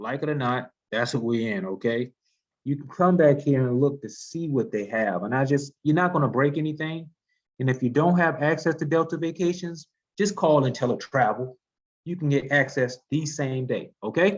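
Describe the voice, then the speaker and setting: Speaking in an unremarkable speaking voice, a man has a fairly high pitch and ordinary pitch variation. His pace is moderate. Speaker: travel agency trainer. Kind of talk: training webinar. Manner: casual, conversational.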